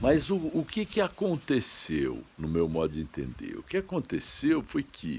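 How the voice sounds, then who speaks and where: A man at a fairly slow pace, with hardly any pauses. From Franca, São Paulo state, Brazil. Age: 60s. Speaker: online commentator. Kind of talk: monologue commentary. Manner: halting.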